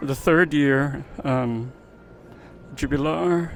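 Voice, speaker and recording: Fairly high in pitch, a man speaks with lively intonation against noticeable background noise. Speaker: travel vlogger. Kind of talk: travel vlog narration. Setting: inside a cathedral during mass. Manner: soft-spoken; hesitant, many fillers.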